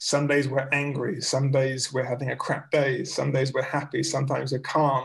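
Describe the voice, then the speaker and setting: A man with a London accent speaks in a fairly high, somewhat breathy voice at a moderate pace, with hardly any pauses. His loudness is very even and his intonation flat and monotone against a quiet background. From North London, England. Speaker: vegan bag factory founder; guest. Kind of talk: casual interview. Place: home room. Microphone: video call.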